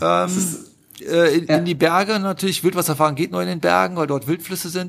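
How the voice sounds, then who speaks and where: A man with a Rhineland accent speaks in a high pitch. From Rhineland, Germany (between Düsseldorf and Cologne). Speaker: whitewater kayaker and filmmaker. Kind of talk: casual interview.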